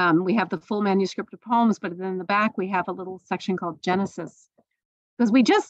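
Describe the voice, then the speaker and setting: The speaker talks at a fairly quick pace with vocal fry and ordinary pitch variation. The sound is dry and close, with no echo. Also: woman. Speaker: poet. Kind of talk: radio interview.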